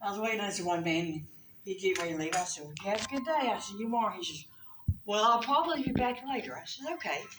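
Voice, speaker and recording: Talking at a very fast pace with very wide pitch swings, a woman with a fairly high voice and a North Carolina accent is heard over noticeable background noise and audible room echo. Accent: Southern US (North Carolina). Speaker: comedian. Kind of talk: stand-up.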